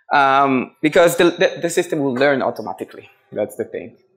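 A man talks at a fairly quick pace with a medium pitch. His intonation is lively.

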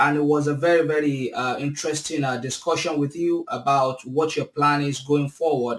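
A man with a fairly high pitch talks at a moderate pace in a flat, monotone way. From Nigeria. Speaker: podcast host. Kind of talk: interview. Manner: halting, many fillers. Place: home room. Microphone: webcam.

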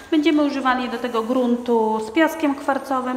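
A high-pitched woman's voice with ordinary pitch variation, music in the background, and audible room echo. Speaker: home renovation vlogger. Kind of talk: tutorial. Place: home room. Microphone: lapel.

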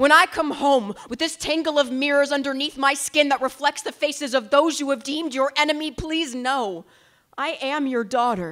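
Using a raised, projected voice, a woman with an American accent speaks at a moderate pace with a high pitch, a bright, sharp tone, and ordinary pitch variation against a quiet background. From United States. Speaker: slam poet. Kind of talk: spoken word poetry performance. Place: stage. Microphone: handheld.

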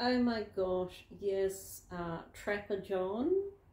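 Somewhat breathy with a dark, mellow tone, a woman with a New Zealand accent speaks at a medium pitch and a very slow pace. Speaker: vlogger. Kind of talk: casual vlog. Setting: at home in lounge.

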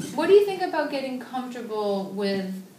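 With lively intonation, a woman talks at a fairly quick pace. The room echo is audible, and light background noise is present. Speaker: speech therapist. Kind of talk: therapy session conversation. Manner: encouraging. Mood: warm, encouraging. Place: home room. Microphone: webcam.

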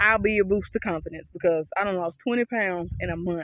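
A woman talks at a fairly quick pace, fairly low in pitch, with a fairly bright tone.

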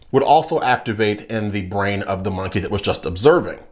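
Over a quiet background, a man talks at a fairly quick pace. His pitch makes very wide swings. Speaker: political commentator. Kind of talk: commentary.

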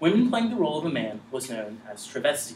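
A man at a fairly quick pace, pitch swinging very widely, with audible room echo and light background noise. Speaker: presenter. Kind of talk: conference presentation. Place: classroom. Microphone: camera far.

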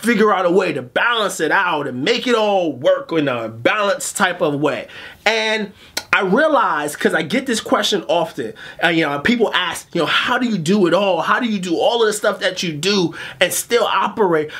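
A man at a medium speed, his intonation lively. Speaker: motivational coach, show host. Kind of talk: motivational monologue to camera. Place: studio.

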